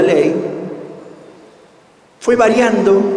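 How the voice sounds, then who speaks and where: A man speaks at an extremely high pitch. His pace is very slow, and the room echo is audible. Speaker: course lecturer. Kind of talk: lecture. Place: hall. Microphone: podium.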